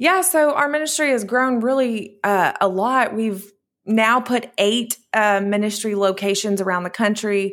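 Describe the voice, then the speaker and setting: An ordinary speaking voice goes at a fairly slow pace with ordinary pitch variation. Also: woman. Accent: American. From US small towns. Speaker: ministry founder and author. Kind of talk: interview testimony.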